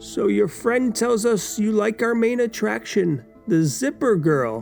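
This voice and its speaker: A man's put-on character voice, high-pitched and at a fairly slow pace, with clear music in the background. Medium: read story. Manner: smooth, sinister.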